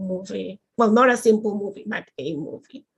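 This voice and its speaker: This woman speaks with a Spanish accent at a medium pitch. Vocal fry runs through her voice. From Colombia, rural. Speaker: aerospace engineer. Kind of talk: panel discussion. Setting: live stream.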